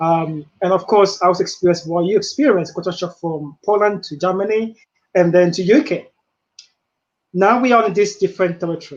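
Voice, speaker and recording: This man speaks with a Ghanaian accent at a fairly quick pace. His pitch is high for a man. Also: ordinary pitch variation. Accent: Ghanaian accent, still present. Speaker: webinar host, coach. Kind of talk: interview conversation. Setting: live video webinar.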